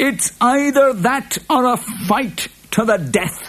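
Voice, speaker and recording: A put-on character voice, growling at a fairly high pitch and a very slow pace. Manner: growling, menacing.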